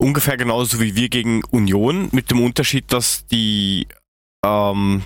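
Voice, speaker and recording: Here is a man with an unremarkable speaking voice at a medium pitch and ordinary pitch variation. He speaks at a fairly slow pace in a very clean recording with a silent background. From Germany. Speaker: football podcast co-host. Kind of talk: casual chat.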